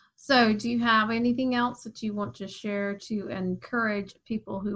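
This is a woman with an ordinary speaking voice at medium pitch, talking at a moderate pace. The recording is very clean, with a silent background. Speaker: podcast host. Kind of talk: scripted intro then casual interview.

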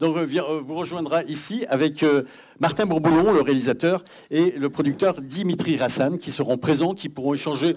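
A man speaks with a normal speaking voice at a moderate pace. His pitch is fairly high, with ordinary variation. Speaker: cinema event host. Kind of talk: welcome speech. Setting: stage with audience.

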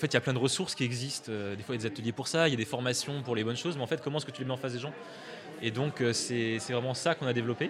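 Amid noticeable background noise, a man with a medium pitch talks very fast with fairly even intonation. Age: 20s. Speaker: tech nonprofit founder. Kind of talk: radio interview.

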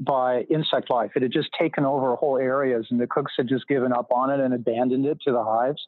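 A man talks at a medium pitch and a moderate pace in a normal speaking voice. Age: 50s. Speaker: author and literature professor. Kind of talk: casual interview conversation.

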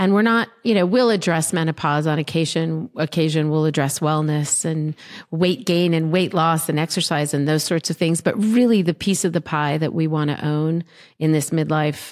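A very clean recording with a silent background, dry, close sound with no echo, and ordinary pitch variation. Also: woman. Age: 50s. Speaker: entrepreneur and podcast host. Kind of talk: interview chat.

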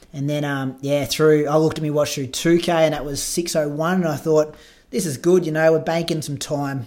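A man with an Australian accent speaks at a moderate pace in a fairly high voice with fairly even intonation. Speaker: podcast host and runner. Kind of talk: casual chat.

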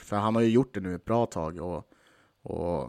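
A man's normal speaking voice, fairly low in pitch, with ordinary pitch variation and a moderate pace, in a dry, close, very clean recording with a silent background and no echo. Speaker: podcast host and hockey fan. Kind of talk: casual chat about the team.

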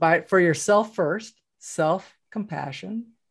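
An unremarkable speaking voice with lively intonation at a fairly slow pace. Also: woman. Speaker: podcast host. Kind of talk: casual interview chat. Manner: warm, conversational.

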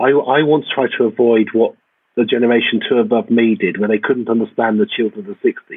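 Very fast male speech, medium in pitch, intonation fairly even. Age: 50s. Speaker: academic geographer. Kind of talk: casual interview chat. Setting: video call from home.

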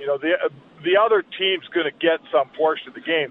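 A man with a Canadian accent speaks at a high pitch with very wide pitch swings. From Edmonton, Canada. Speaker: hockey journalist. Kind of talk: casual sports talk interview.

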